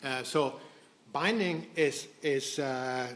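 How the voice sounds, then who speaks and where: A man speaks in a Swedish accent at a medium pitch. His pitch varies in an ordinary way. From Sweden. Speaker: biotech company co-founder. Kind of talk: conference presentation. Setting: stage with audience. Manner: halting, many false starts.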